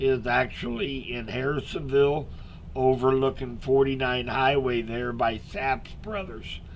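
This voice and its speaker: With audible room echo, a man at medium pitch speaks with fairly even intonation. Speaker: local weather forecaster. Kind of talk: live weather update stream. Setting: live stream with chat. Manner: soft-spoken; casual with many fillers.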